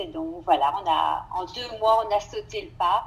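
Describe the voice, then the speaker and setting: A woman's fairly high voice with vocal fry, at a fairly slow pace. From Belgium, Brussels. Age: 50s. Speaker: French teacher. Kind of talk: interview.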